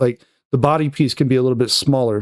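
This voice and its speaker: A man's medium-pitched voice comes through with a dry, close sound and no echo. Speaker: 3D art tutorial creator. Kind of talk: tutorial. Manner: fast; casual, filler-heavy.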